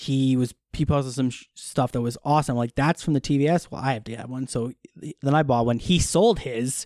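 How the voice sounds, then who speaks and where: A man with an American accent and a plain, everyday voice speaks at a moderate pace in a medium pitch with ordinary pitch variation and big swings in loudness. The recording is very clean with a silent background, and the sound is dry and close with no echo. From Wisconsin, US Midwest. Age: 30s. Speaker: television assistant editor, amateur photographer. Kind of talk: casual chat.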